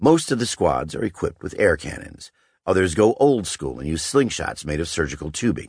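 Against a quiet background, a man with vocal fry talks at a moderate pace, his pitch swinging very widely. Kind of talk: audiobook narration, nonfiction reading aloud.

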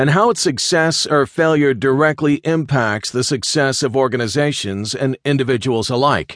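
Against a quiet background, with a dry, close sound and no echo, a man talks at a moderate pace in an unremarkable speaking voice, his fairly high pitch varying in an ordinary way. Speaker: audiobook narrator. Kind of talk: audiobook reading of a textbook, scripted narration. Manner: even, steady, formal and instructive; measured, clear pacing, textbook-like.

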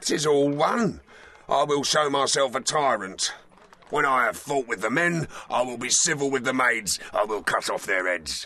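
A man talks at a moderate pace with medium pitch. His intonation is lively. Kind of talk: Shakespearean stage verse. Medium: audio drama. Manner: boastful, bawdy, aggressive.

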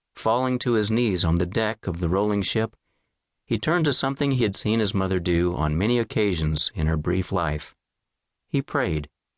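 In a solemn, dramatic tone, a man with a fairly low pitch and lively intonation speaks at a moderate pace and very even loudness, the sound dry and close with no echo over a quiet background. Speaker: audiobook narrator. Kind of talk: audiobook narration, scripted and dramatic, reading history aloud. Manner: measured, solemn and dramatic, storytelling tone that builds suspense.

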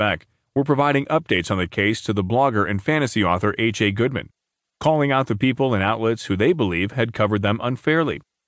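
Talking at a very fast pace, a man uses lively intonation at a medium pitch, his loudness very even against a quiet background. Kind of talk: scripted news narration. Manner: formal, even-paced, newsreader delivery; neutral tone, only slight shifts when reading quoted speech.

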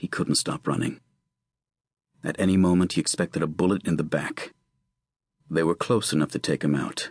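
A man with a very deep, low pitch talks at a fairly quick pace, with long, frequent pauses. His loudness stays very even and his pitch variation is ordinary. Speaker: audiobook narrator. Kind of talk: unabridged audiobook narration of a tense legal thriller chase scene. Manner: suspenseful, urgent storytelling pacing through action.

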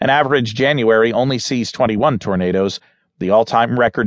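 Fairly quick speech from a man in an unremarkable speaking voice, medium pitch and ordinary pitch variation. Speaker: audiobook narrator. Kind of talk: news reading. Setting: studio. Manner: formal; steady, even-paced.

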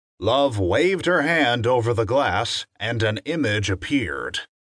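A man's medium-pitched voice with vocal fry and very wide pitch swings, at a very slow pace, in a dry, close sound with no echo against a quiet background. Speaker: audiobook narrator. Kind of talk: dramatic audiobook narration of fiction excerpt, with numbered lines.

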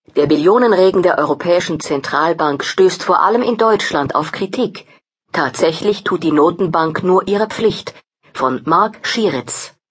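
In an ordinary speaking voice, a woman talks at a fairly low pitch with lively intonation and very even loudness. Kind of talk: news-style headline reading, table of contents. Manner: brisk, neutral, formal.

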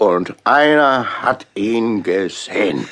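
In a put-on character voice, a man speaks slowly at a fairly low pitch, with lively intonation and a fairly bright tone.

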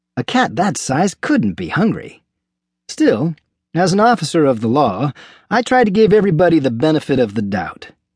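A man speaks at a moderate pace in a high voice that swings very widely in pitch, over a quiet background. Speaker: audiobook narrator playing a police officer. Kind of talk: dramatic audiobook narration, in character. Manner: wry, folksy, good-humored.

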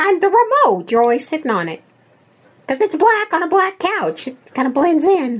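Someone uses a put-on character voice, high-pitched and squeaky, at a moderate pace. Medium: audio drama. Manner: chatty, excitable.

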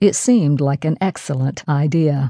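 This woman's voice is somewhat breathy, with a dark, mellow tone. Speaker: audiobook narrator. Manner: steady, measured storytelling pace with voiced dialogue for characters.

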